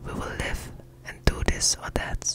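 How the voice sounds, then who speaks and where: Whispered speech at a fairly slow pace. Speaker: ASMR Bible reader. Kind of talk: ASMR Bible reading. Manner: whispered, close-up. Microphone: studio mic.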